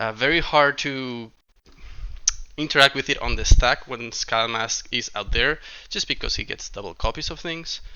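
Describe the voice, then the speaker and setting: With a non-native accent, a man speaks with big swings in loudness. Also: moderate pace. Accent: noticeable non-native. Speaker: card game content creator. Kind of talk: video intro narration. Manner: hesitant, many fillers.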